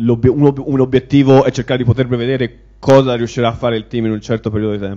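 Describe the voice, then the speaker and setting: Speaking very fast, a man keeps a monotone, flat intonation. The background is quiet. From Italy. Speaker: information security manager; conference speaker. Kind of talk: conference talk. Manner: halting. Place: hall. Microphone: handheld.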